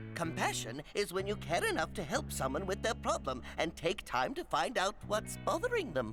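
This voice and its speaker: A cartoonish character voice plays over clear music in the background. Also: moderate pace. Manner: dry, slightly put-upon.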